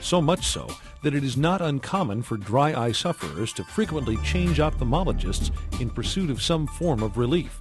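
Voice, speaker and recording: With music in the background, a man speaks at a moderate pace in a fairly high pitch, his voice making very wide pitch swings. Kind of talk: medical patient education narration.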